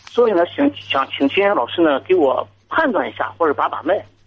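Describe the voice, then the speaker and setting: A man's voice swings very widely in pitch. Noticeable background noise runs underneath. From Jinan, Shandong, China. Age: 30s. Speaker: caller. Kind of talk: call-in advice talk. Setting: phone call.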